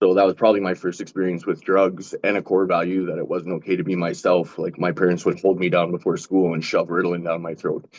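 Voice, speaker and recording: Speaking very fast with hardly any pauses, a man with a western Canadian accent delivers his words in a very deep, low pitch and a monotone, flat intonation. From western Canada, Calgary. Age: 40s. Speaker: panelist with lived experience of drug use. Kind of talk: personal testimony.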